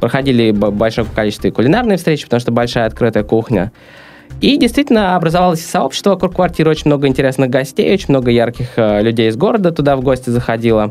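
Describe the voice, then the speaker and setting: Noticeable background noise sits behind a man speaking very fast at a medium pitch. His intonation is lively and his loudness very even. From Russia, St Petersburg. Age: 20s. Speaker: entrepreneur, coworking founder. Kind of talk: interview. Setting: studio.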